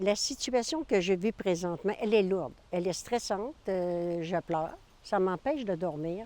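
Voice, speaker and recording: Lively intonation from a woman with a dark, mellow tone and medium pitch, at a fairly slow pace. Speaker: seniors' residence resident. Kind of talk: news interview. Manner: halting.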